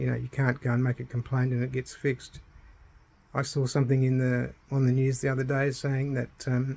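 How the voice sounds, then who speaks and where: With an Australian accent, a man speaks at a fairly quick pace and medium pitch, his dark, mellow tone somewhat breathy and his intonation monotone and flat. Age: 60s. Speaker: retired banker telling his own story. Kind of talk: personal testimony vlog. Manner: halting, many fillers.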